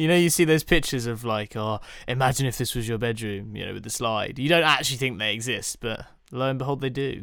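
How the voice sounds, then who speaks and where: Speaking very fast, a man with a British accent uses a medium pitch and ordinary pitch variation. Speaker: podcast co-host. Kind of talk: casual chat.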